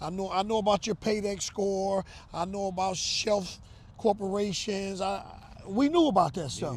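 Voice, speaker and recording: Speaking at a moderate pace with ordinary pitch variation, the voice carries an American accent. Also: man, high pitch for a man. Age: 60s. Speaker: real estate investor. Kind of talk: interview. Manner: casual, conversational.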